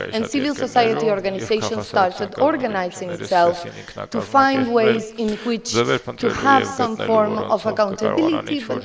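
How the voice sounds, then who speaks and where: A woman with a fairly high voice talks at a moderate pace with lively intonation. Audible room echo and noticeable background noise fill the recording. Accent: Spanish. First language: Spanish. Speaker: lawyer and professor, conference panelist. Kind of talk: conference panel talk. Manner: hesitant, with fillers.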